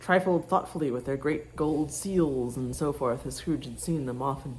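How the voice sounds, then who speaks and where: Her pitch very deep and low, a woman speaks at a moderate pace with ordinary pitch variation. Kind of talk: audiobook reading. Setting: home, cooking sounds in background.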